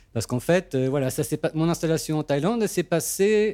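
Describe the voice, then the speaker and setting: A man's fairly quick, lively-intoned speech on a very clean recording with a silent background. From France. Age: 40s. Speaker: sound engineer. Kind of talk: interview testimony.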